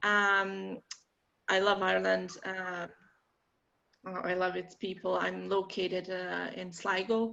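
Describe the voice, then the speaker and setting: A woman with a Bosnian accent, very slow pace, long and frequent pauses. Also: quiet background. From Bosnia and Herzegovina. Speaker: marketing workshop presenter. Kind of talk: online workshop presentation.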